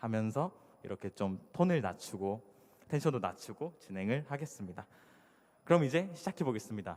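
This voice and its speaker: A man speaks with very wide pitch swings. He leaves long, frequent pauses. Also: medium pitch for a man. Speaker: conference speaker, iOS developer. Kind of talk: conference talk. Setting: stage with audience. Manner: fast when excited.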